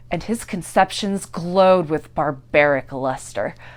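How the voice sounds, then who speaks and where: A woman speaks at a fairly slow pace in an ordinary speaking voice. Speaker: actor. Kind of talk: dramatic reading.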